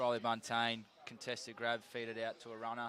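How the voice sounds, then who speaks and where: This man speaks with an Australian accent. His pitch is medium. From Tasmania, Launceston. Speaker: football commentator. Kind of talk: live commentary.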